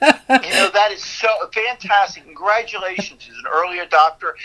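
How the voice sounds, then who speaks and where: A man's raised, projected voice, high in pitch with ordinary variation, at a fairly quick pace over noticeable background noise. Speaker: business owner. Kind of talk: casual interview chat. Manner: cheerful.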